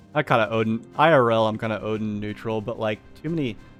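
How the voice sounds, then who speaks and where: A man with a medium-pitched voice talks at a very fast pace and ordinary pitch variation while music plays in the background. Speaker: game streamer reading in-game lore aloud. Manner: casual, rambling, hesitant when reading.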